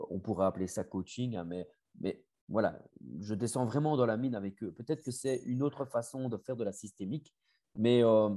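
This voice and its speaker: A man with a slight Belgian accent, medium pitch and dark, mellow tone, at a fairly quick pace with ordinary pitch variation. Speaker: family constellation facilitator and coach. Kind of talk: interview. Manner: hesitant, many fillers and repetitions.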